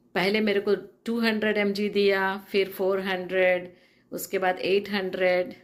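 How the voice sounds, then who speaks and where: Medium pitch from a woman, with fairly even intonation. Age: 60s. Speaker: patient giving testimonial, former nurse. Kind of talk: testimony. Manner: halting, many filler sounds.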